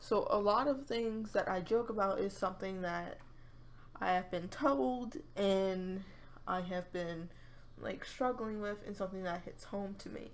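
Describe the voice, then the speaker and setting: With audible room echo, the speaker goes at a fairly slow pace and uses ordinary pitch variation. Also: woman, medium pitch for a woman. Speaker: YouTube gamer vlogger. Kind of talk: casual monologue vlog. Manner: halting.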